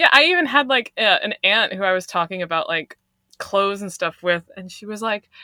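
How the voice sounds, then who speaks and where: A woman with an American accent speaks in a normal speaking voice at medium pitch and a fairly quick pace. Her intonation is lively, and her loudness swings widely. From Long Island, New York. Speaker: teacher. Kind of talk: casual chat.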